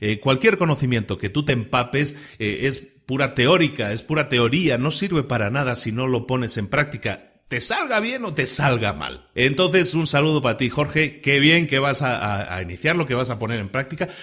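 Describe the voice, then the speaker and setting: At a moderate pace with hardly any pauses, a man speaks at medium pitch in a bright, sharp tone with lively intonation. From Spain. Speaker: podcast host. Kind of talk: podcast monologue. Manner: casual, with many hesitations and repetitions.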